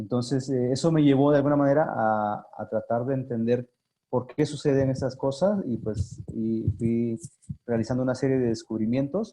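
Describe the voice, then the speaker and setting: Speaking at a moderate pace with an Oaxacan accent, a man uses a medium pitch and ordinary pitch variation. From Mexico, Sierra Norte de Oaxaca (Yagavila). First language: Zapotec (speaking Spanish). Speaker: language activist and communicator. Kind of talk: interview. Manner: halting, many fillers.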